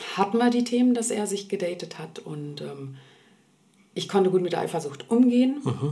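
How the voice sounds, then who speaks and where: A woman at medium pitch talks at a moderate pace with very wide pitch swings over noticeable background noise. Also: big swings in loudness. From Berlin, Germany (Swedish-born). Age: 40s. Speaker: interview guest sharing her dating story. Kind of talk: personal interview conversation. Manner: hesitant, many fillers.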